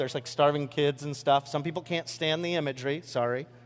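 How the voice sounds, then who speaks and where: Delivered in a normal speaking voice, the speech runs at a fairly quick pace with fairly even intonation. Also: man. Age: 40s. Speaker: pastor. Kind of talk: sermon. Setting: church with congregation. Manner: casual, filler-heavy delivery.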